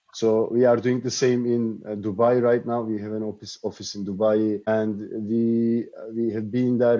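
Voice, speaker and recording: A man speaks at a medium pitch in a flat monotone. The sound is dry and close with no echo, and his tone is dark and mellow. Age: 40s. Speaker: startup co-founder and CTO. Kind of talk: interview. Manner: hesitant, many fillers.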